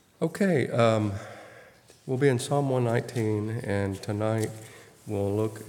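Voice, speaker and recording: A soft-spoken man with an American accent, fairly low in pitch, at a moderate pace with ordinary pitch variation. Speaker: Bible study teacher. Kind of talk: Bible study teaching.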